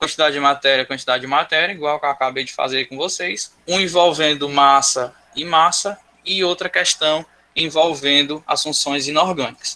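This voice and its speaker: With a plain, everyday voice, a man speaks at a moderate pace, his fairly high pitch held to fairly even intonation. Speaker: school teacher. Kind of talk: online class lecture.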